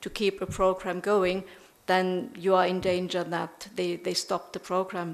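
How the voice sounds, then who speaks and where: Over noticeable background noise, the speaker talks at a moderate pace with a German accent and monotone, flat intonation. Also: woman. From Germany. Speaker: professor. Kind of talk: lecture.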